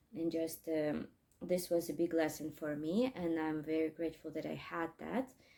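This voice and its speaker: A woman speaks in a dark, mellow tone with a Russian accent. Her pitch sits fairly low, and her pace is moderate. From Crimea, Ukraine. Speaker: English teacher. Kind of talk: casual vlog talk. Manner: halting, many fillers.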